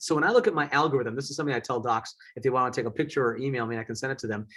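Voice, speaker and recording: A somewhat breathy voice with an American accent and ordinary pitch variation. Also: man. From US Midwest, southeast Wisconsin. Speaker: eye surgeon. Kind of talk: lecture. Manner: fast.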